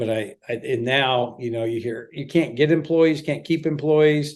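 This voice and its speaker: A man with an American accent and an ordinary speaking voice, fairly high in pitch, at a moderate pace with ordinary pitch variation. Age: 60s. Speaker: former police chief and security expert. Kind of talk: podcast interview. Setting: podcast.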